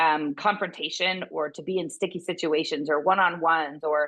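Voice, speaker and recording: A woman speaks at a fairly quick pace with a fairly low pitch. Her tone is intense and animated. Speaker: veterinary business consultant. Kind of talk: interview conversation. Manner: intense, animated; halting, repeats words.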